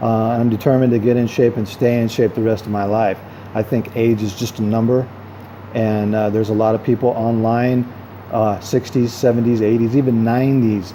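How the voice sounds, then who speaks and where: A man's monotone, flat delivery at a medium pitch and fairly quick pace, with noticeable background noise. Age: 50s. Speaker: vlogger and self-help author. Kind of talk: casual vlog monologue. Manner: hesitant, many fillers; talkative.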